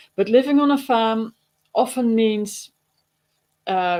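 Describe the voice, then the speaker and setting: A woman with a Dutch accent, ordinary pitch variation and a fairly slow pace. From Netherlands. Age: 60s. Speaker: digital marketer and farmer. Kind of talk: webinar presentation. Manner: casual with fillers.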